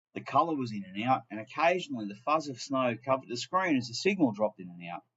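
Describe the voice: The clip features plain reading aloud.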